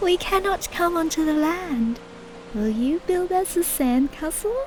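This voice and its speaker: Clear music plays behind a woman using a put-on character voice at an extremely high pitch and a moderate pace. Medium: read story.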